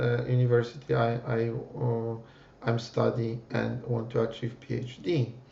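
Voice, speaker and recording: A man speaks fairly slowly in a Polish accent at medium pitch. His intonation is monotone and flat, with noticeable background noise behind him. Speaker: PhD student and software developer. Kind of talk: presentation. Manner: halting, many fillers.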